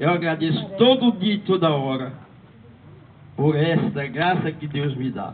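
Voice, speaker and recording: A man speaks at a fairly slow pace with a fairly high pitch and lively intonation. Long, frequent pauses break up his speech over noticeable background noise. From Northeast Brazil, Paraíba. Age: 70s. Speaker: church lay speaker. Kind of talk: talk to parish community.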